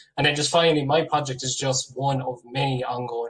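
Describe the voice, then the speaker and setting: Speech comes at a very fast pace in an Irish accent, with monotone, flat intonation. Noticeable background noise runs underneath. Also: man. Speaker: PhD researcher, award winner. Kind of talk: acceptance speech.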